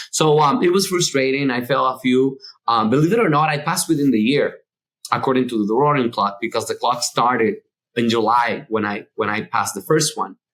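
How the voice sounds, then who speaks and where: A man talks fairly quickly with a Spanish accent. His medium-pitched voice has lively intonation. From Dominican Republic. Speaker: architect. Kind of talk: interview conversation. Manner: halting, many fillers and repetitions.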